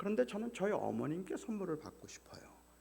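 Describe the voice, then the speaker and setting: A man speaks at a fairly quick pace. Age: 60s. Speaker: guest pastor. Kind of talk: sermon.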